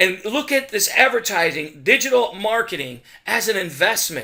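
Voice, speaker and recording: A man's raised, projected voice with an animated tone, bright and sharp. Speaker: digital marketing consultant. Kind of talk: sales pitch. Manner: fast.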